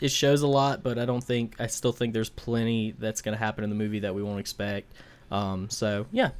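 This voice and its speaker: Here is a plain, everyday voice at a fairly quick pace. The pitch variation is ordinary. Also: man. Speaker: podcast co-host. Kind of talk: casual chat.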